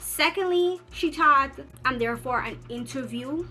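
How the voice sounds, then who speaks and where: With a Guyanese accent, a woman speaks at a high pitch with lively intonation. Music plays in the background. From Guyana. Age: 20s. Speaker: university student. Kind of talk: casual storytime talk to camera.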